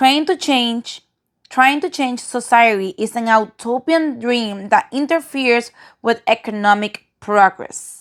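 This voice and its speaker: A woman with a non-native accent speaks at a high pitch and fairly slow pace, with ordinary pitch variation. The sound is dry and close with no echo, on a very clean recording with a silent background. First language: non-native English speaker. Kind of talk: reading from a textbook.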